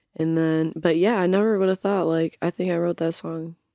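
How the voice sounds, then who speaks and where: A woman with an American accent, fairly low in pitch and dark and mellow in tone, monotone and flat at a moderate pace. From Utah. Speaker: hip hop artist. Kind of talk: casual chat. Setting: studio.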